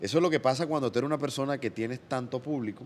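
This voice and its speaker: Here is a man with a normal speaking voice at a medium pitch. His pitch variation is ordinary. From Colombia, Barranquilla (Caribbean coast). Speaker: comedian and singer. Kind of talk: casual interview chat.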